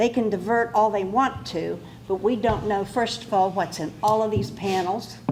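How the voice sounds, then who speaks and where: Speaking at a fairly slow pace, a woman has a medium pitch, ordinary pitch variation and an American accent. Noticeable background noise and audible room echo are present. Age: 80s+. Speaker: resident speaking at public hearing. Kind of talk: public comment. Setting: public hearing room.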